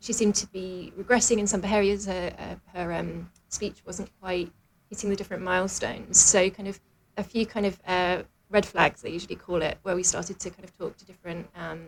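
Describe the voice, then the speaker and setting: In a British accent, a woman speaks at a fairly quick pace with a medium pitch and vocal fry. Her intonation is monotone and flat, while her loudness swings a lot. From London, England. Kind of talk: radio interview.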